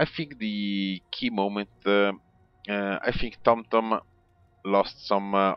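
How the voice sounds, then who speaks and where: With an Italian accent, a man speaks at a fairly low pitch. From Italy. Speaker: video game commentator. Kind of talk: game replay commentary. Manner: halting, many fillers.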